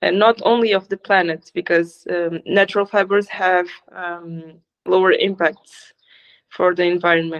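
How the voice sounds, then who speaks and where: A woman speaks in a fairly low voice at a fairly slow pace. Her intonation is monotone and flat. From Ivory Coast. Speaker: sustainable fashion brand owner. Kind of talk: interview. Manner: halting, many fillers.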